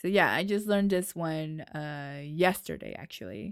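An animated speaker with an American accent talks at a fairly slow pace with lively intonation. The recording is very clean, with a silent background. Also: woman. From New York. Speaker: podcast host. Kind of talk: casual chat. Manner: animated, laughs often.

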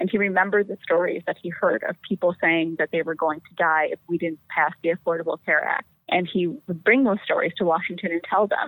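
At a fairly quick pace, a woman with fairly low pitch talks with big swings in loudness. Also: ordinary pitch variation. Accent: Wisconsin. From Wisconsin, Fox Valley (Appleton). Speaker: politician, congressional candidate. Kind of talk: interview.

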